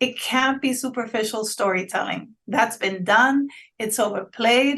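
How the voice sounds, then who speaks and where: A woman with a Spanish accent, a bright, sharp tone and a fairly high pitch, at a fairly slow pace with fairly even intonation. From Honduras. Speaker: PR agency founder. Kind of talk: interview.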